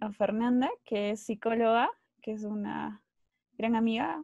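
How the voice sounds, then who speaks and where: She is a woman with a fairly high pitch who talks at a fairly slow pace. The sound is dry with no echo, and the background is quiet. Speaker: psychologist and university lecturer. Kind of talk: lecture. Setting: video call. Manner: hesitant, many fillers. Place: home room. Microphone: earbuds.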